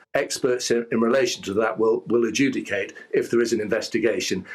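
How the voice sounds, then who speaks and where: This speaker has an English accent. The pace is fairly quick. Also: man. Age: 60s. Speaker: lawyer. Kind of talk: news interview. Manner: halting, with many false starts.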